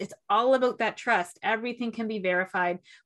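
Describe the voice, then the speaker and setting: A woman with a Canadian accent and an ordinary speaking voice, lively intonation and a moderate pace. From Toronto, Canada. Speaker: podcast host and executive coach. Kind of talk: interview.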